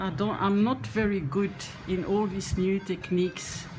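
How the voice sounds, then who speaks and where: Noticeable noise sits behind the recording. The speaker is a woman. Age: 70s. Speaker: reborn doll painting hobbyist. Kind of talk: tutorial. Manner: halting.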